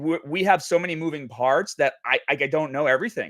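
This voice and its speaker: With an American accent, a man speaks very fast in an animated tone at a fairly high pitch, on a very clean recording with a silent background and a dry, close sound with no echo. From New England, near Boston. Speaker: gaming company executive. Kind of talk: casual podcast chat.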